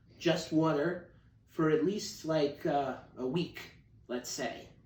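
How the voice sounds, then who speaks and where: Very slowly, a man with an American accent speaks amid audible room echo. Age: 30s. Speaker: activist on hunger strike. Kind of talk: video monologue. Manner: casual, with fillers.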